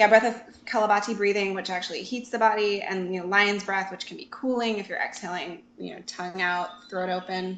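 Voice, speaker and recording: At a fairly quick pace with hardly any pauses, a woman with an unremarkable speaking voice speaks at a medium pitch with fairly even intonation. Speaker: yoga teacher. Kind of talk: interview conversation. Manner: uses many filler words.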